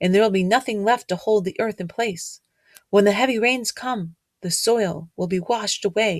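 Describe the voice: Someone does plain reading aloud with a quiet background.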